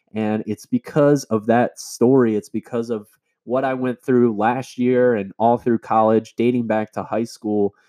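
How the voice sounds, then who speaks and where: An unremarkable speaking voice moves at a moderate pace, the sound dry and close with no echo against a quiet background. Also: man. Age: 20s. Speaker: online fitness coach and podcast host. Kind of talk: solo personal-story monologue. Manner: casual, conversational.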